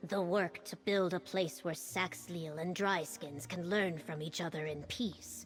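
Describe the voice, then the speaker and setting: A woman speaks at a fairly slow pace with hardly any pauses, using a put-on character voice. Her pitch sits fairly low, and background noise is clearly audible. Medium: video game. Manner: earnest.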